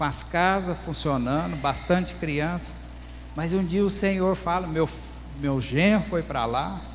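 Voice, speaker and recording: Speech comes at a fairly slow speed with audible room echo around it. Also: man. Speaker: pastor and missionary. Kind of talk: testimony.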